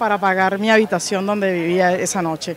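Over light background noise, a woman talks at a fairly quick pace with fairly even intonation, the sound dry with no echo. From Venezuela, Caracas. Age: 40s. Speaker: street food vendor. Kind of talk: interview testimony. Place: street. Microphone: handheld.

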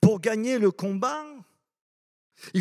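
The background is quiet. A man speaks at a high pitch. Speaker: preacher. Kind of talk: sermon. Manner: loud. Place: church. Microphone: handheld.

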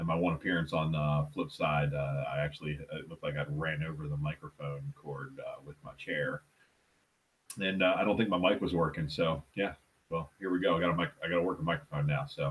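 This man's pitch is very deep and low, with ordinary variation. He talks at a fairly quick pace. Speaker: comic collector vlogger. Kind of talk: casual vlog chat. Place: home room. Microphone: headset.

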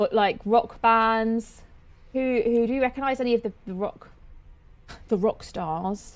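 A woman speaks at a fairly slow pace. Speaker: game streamer. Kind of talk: casual gameplay commentary. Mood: cheerful, curious. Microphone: studio mic.

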